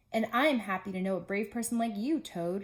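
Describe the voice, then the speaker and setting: A woman puts on a character voice at a medium pitch, speaking at a fairly quick pace. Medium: read story.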